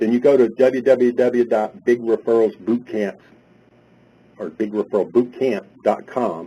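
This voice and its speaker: A man's medium-pitched voice, dark and mellow in tone, with a Carolina accent. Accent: Southern US, Carolina. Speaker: webinar presenter.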